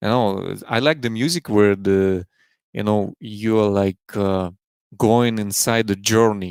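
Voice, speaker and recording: Very slowly and at a fairly low pitch, a man with a Russian accent speaks with ordinary pitch variation in a dry, close sound with no echo on a very clean recording with a silent background. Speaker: beatboxer, loopstation artist. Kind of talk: casual podcast interview. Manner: halting.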